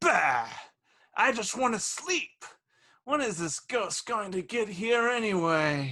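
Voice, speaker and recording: Using a put-on character voice, a man speaks high and at a fairly slow pace, with very wide pitch swings. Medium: audio drama. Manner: grumpy, scoffing.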